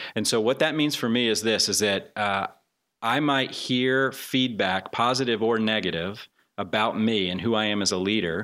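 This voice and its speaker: This man's voice sits fairly low, with a bright, sharp tone. His pitch varies in an ordinary way, his loudness stays very even, and his pace is moderate. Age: 40s. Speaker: church staff member. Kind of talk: interview.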